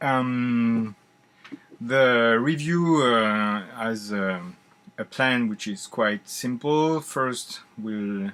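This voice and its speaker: With a French accent, a man talks at a very slow pace using ordinary pitch variation. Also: medium pitch for a man. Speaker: board game reviewer. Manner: deliberately slow; hesitant, many filler sounds.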